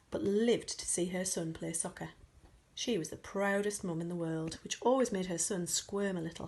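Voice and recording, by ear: A speaker reading aloud in a natural voice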